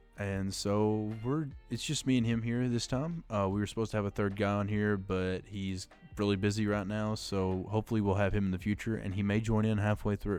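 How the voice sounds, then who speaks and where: Music plays in the background as a man speaks at a fairly quick pace. His voice is fairly low, with fairly even intonation. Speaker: podcast host. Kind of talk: casual podcast conversation.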